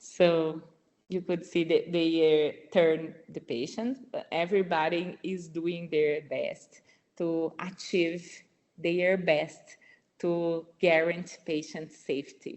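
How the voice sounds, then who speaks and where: Very slowly and with fairly even intonation, a woman with a strong non-native accent speaks at a fairly low pitch. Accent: strong foreign. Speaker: nurse researcher. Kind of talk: webinar presentation. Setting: online webinar. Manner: halting, with many repetitions.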